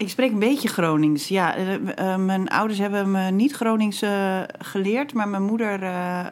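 This woman has an ordinary speaking voice at a medium pitch with ordinary variation. She talks at a fairly slow pace. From Groningen province, Netherlands (Bedum). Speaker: poet and writer. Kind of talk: casual interview.

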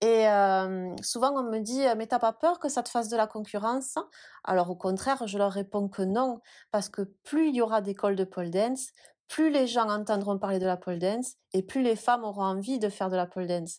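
A plain, everyday voice from a woman at a fairly high pitch, moderate pace and ordinary pitch variation, in a very clean recording with a silent background. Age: 30s. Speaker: pole dance studio founder. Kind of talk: interview.

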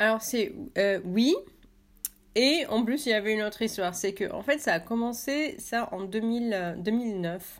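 At a fairly slow pace, a woman speaks in a plain, everyday voice with a fairly high pitch. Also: ordinary pitch variation. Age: 30s. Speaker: artist and author. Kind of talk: interview.

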